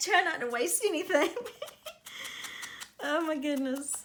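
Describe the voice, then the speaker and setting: A woman with a high pitch and lively intonation talks at a fairly slow pace with long, frequent pauses, amid noticeable background noise and audible room echo. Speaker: crafting youtuber. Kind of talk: craft tutorial. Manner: quiet.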